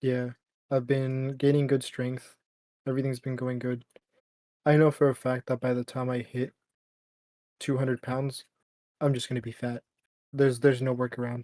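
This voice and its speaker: A man with a dark, mellow tone speaks at a moderate pace, monotone and flat, with long, frequent pauses. The sound is dry and close, with no echo. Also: medium pitch for a man. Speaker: podcast co-host. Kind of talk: casual chat.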